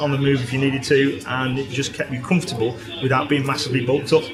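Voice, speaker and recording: Music plays behind a man with a fairly high pitch. He talks very fast with fairly even intonation. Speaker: motorcyclist. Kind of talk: interview answer.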